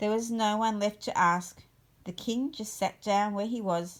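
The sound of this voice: The text is delivered in an unforced reading voice, its intonation fairly even.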